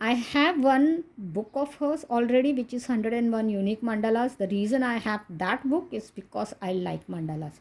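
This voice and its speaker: With a Goan accent, a woman speaks at a moderate pace in a fairly high voice, her intonation lively and hardly any pauses between phrases. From India, Maharashtra. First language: Konkani. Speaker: coloring book reviewer. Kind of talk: casual video review.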